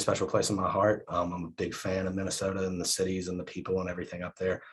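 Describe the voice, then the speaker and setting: A man speaks very fast in a very deep, low voice that is somewhat breathy. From southern West Virginia coal fields. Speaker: professor. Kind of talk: keynote talk. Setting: video call. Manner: repeats words, hesitant fillers.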